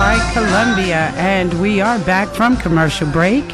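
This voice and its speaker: Music plays in the background while the speech moves at a fairly slow pace. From Washington DC. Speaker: radio host. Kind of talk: radio talk show.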